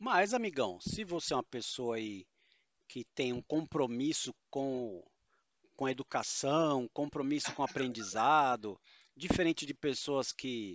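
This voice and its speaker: This man speaks at a fairly slow pace with a medium pitch. His intonation is lively. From São Paulo state, Brazil. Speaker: tabletop RPG podcast co-host and game master. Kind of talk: casual chat. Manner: animated.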